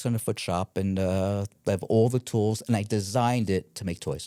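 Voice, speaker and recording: In a very clean recording with a silent background and a dry, close sound with no echo, a man with a New York accent speaks in a dark, mellow tone at a fairly low pitch and moderate pace, his intonation fairly even. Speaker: family real estate investor and woodworker. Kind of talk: podcast interview. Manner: halting, with many fillers.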